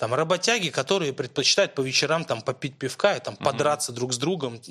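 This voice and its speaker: Very fast speech with ordinary pitch variation under noticeable background noise. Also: man. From Moscow, Russia. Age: 20s. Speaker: football blogger. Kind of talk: casual chat.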